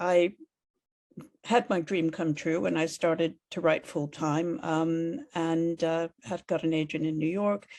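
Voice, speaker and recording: Against a quiet background, a woman talks with an American accent. Her pitch is fairly low. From United States. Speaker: author. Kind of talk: interview. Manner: hesitant, many fillers.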